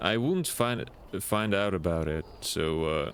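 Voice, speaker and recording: A man speaks in a very deep, low pitch with ordinary pitch variation. He has a non-native accent. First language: not English. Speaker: video game streamer. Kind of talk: live gaming stream commentary. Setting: live stream.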